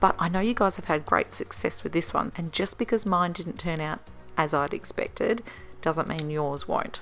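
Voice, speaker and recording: A woman with an Australian accent, fairly low in pitch, at a moderate pace with ordinary pitch variation and music in the background. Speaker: home cook vlogger. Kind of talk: casual talk to camera.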